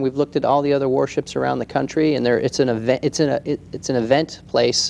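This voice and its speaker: A man's medium-pitched voice with an American accent at a very fast pace. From Washington, D.C. area. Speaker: museum project leader. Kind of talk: TV interview.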